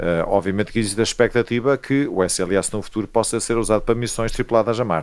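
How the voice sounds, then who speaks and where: A normal speaking voice from a man, pitched medium with ordinary pitch variation. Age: 50s. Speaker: astronomer. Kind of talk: interview.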